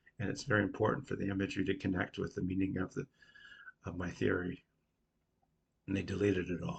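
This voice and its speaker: A man speaks very fast in a somewhat breathy, very deep and low voice with ordinary pitch variation. Long, frequent pauses break up his speech. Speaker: independent researcher / video creator. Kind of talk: casual explanatory monologue.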